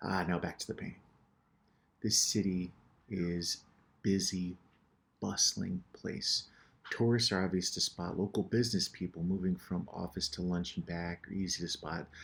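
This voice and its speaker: Pausing long and often, a man with an American accent talks at a moderate pace in a very deep, low pitch with fairly even intonation. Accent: American, unmistakable. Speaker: painter and show host. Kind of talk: casual narration over painting tutorial. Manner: casual, with hesitations and repetitions.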